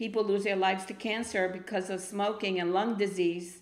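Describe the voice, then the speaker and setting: A woman speaks at a moderate pace with a medium pitch. Her intonation is fairly even, and audible room echo surrounds her voice. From Argentina, Buenos Aires. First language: Spanish. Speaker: spoken word poet. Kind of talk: interview. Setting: studio.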